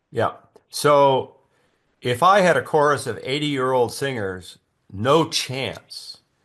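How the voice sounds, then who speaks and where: Very slowly, with long, frequent pauses, a man speaks at a fairly high pitch with ordinary pitch variation. The background is quiet. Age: 80s+. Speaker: choir conductor. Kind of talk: interview. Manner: halting.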